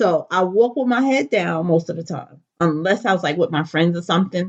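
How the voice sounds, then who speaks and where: At a moderate pace, a woman with a fairly low pitch and an unremarkable speaking voice talks with ordinary pitch variation. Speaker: natural hair enthusiast telling her life story. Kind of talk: personal testimony.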